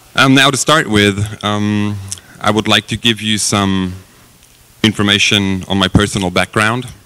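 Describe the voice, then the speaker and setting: With a German accent, the speaker talks at a fairly slow pace using fairly even intonation. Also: man, fairly low pitch for a man. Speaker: company executive. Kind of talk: conference presentation. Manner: hesitant, many fillers.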